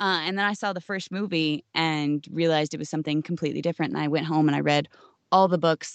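A very fast woman's voice with an American accent, very deep and low in pitch, with fairly even intonation. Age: 20s. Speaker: voice actress. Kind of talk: interview.

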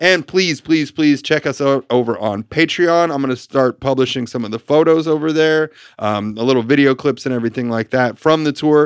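An unremarkable speaking voice belongs to a man with an American accent and a fairly high pitch. He talks at a fairly quick pace with ordinary pitch variation and hardly any pauses. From New York. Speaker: podcast host and tour photographer. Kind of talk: casual chat. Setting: studio.

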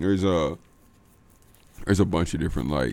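A man with an American accent speaks in a dark, mellow tone with vocal fry and lively intonation. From Houston, Texas. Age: 20s. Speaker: comedian. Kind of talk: casual chat.

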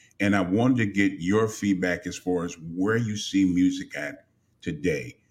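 Moderate pace with ordinary pitch variation. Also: man. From Los Angeles. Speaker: radio host. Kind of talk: interview. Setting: live online broadcast. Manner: animated.

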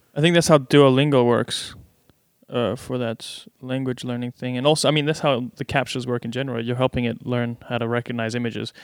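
A man with a normal speaking voice, medium pitch, fairly even intonation and a fairly quick pace. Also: very clean recording, silent background. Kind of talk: casual chat.

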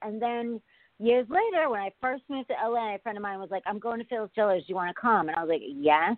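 A woman talks in a normal speaking voice at a fairly quick pace. Her pitch is fairly high and her intonation lively. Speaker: comedian. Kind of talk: casual chat.

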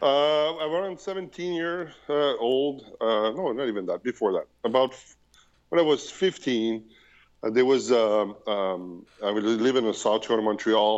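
Lively intonation and a fairly slow pace in a Quebec French accent. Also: man, medium pitch for a man. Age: 40s. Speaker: projectionist. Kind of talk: casual chat. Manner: halting.

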